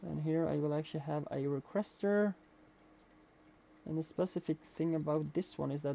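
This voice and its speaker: A man speaks with a non-native accent. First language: not English. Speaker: video game streamer. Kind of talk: live gameplay commentary. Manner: halting, many fillers.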